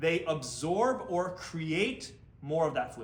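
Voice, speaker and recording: Here a man speaks with an American accent. His pitch sits fairly high. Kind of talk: explaining science, lecturing.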